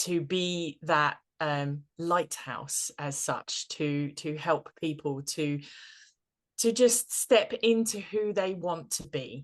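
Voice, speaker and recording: With a British accent, the speaker talks very slowly and with lively intonation. The background is quiet. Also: woman, fairly low pitch for a woman. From Britain. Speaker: tarot and practical magic coach. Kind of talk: interview podcast. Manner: hesitant, many fillers and repeats.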